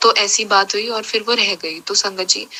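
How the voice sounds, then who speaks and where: A woman talks at a moderate pace in a monotone, flat intonation over noticeable background noise. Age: 20s. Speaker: devotee sharing testimony. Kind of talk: testimony.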